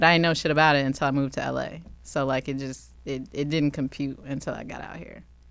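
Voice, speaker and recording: A woman at a very fast pace with hardly any pauses, very deep and low in pitch, with monotone, flat intonation and big swings in loudness. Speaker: comedy writer. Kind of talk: casual chat. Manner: dry, reserved delivery.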